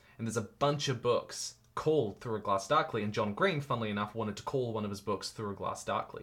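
The speech comes at a very fast pace with hardly any pauses, in a New Zealand accent. The pitch variation is ordinary. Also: man, medium pitch for a man. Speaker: YouTuber and author. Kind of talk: casual interview. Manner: halting, many repeated words.

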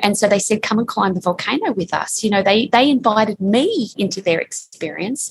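In an Australian accent, a woman speaks at a fairly quick pace with hardly any pauses. Her pitch is fairly high, with ordinary variation. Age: 50s. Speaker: time management expert and author. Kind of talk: interview. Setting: remote call from co-working space.

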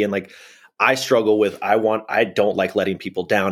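This man has a normal speaking voice at a fairly low pitch. He moves along at a fairly quick pace. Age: 30s. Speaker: podcast host. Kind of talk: casual chat.

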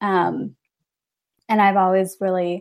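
A woman with a medium pitch and a Midwestern American accent uses fairly even intonation in a very clean recording with a silent background. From rural northern Illinois. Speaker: ministry event manager. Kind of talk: casual interview chat. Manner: hesitant, many fillers.

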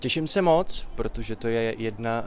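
This man has an ordinary speaking voice with ordinary pitch variation. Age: 20s. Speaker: actor. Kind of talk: interview.

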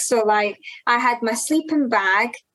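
A woman is speaking. She has a Glaswegian accent. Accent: Glaswegian Scottish. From Scotland, Glasgow. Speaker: ultrarunner. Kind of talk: interview.

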